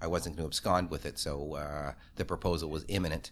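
A man is speaking. He has a Canadian accent. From Toronto, Canada. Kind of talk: casual interview chat. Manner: fast talker, animated.

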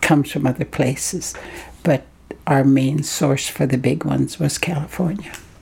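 A woman's very deep, low voice with fairly even intonation over noticeable background noise. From Haida Gwaii, British Columbia, Canada. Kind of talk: interview. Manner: halting.

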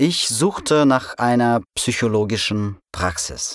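In a very clean recording with a silent background and a dry, close sound with no echo, the speaker talks at a very slow pace in a Russian accent. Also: man. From Russia, provincial town. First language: Russian (speaking German). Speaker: immigrant sharing personal story. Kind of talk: scripted narration. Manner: slow and clear.

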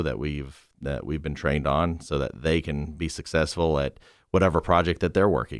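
A man with vocal fry speaks at a moderate pace in a very deep, low pitch, on a very clean recording with a silent background. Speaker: auto paint company businessman. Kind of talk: casual panel chat. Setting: radio studio.

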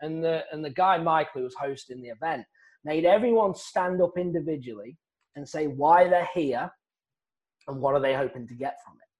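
Against a quiet background, a man with an English accent talks at a fairly quick pace. His pitch is fairly high, with ordinary pitch variation. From England. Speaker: real estate wholesaler, former golf professional. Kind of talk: interview, casual storytelling.

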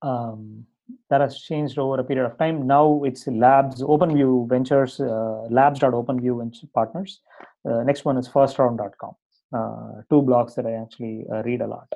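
A man speaks with a Tamil accent at medium pitch. His pace is moderate and his intonation fairly even. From India, Tamil Nadu. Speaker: startup CEO and co-founder. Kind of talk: interview. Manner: hesitant, many fillers.

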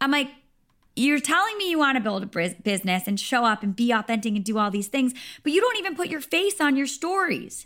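A woman with a high pitch talks in an animated tone at a fairly quick pace, with very wide pitch swings. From Rhode Island. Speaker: fitness instructor. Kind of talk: casual chat.

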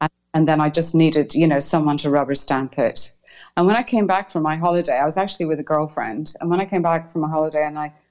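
A woman speaks with a very deep, low pitch and ordinary pitch variation. Her pace is fairly quick. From Ireland. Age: 50s. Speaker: breast cancer survivor guest. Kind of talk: interview conversation sharing personal story. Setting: video or phone call from Hong Kong.

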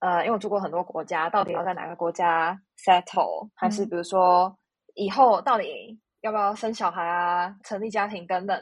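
A woman talks in a plain, everyday voice at a medium pitch with ordinary pitch variation. Her pace is moderate, and the background is quiet. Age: 30s. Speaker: podcast guest. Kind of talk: casual chat.

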